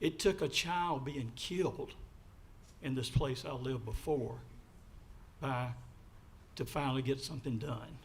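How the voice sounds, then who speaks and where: A man's somewhat breathy, fairly high voice at a moderate pace, with ordinary pitch variation and audible room echo. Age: 70s. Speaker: resident giving public comment. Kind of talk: public comment at council meeting. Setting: city council meeting.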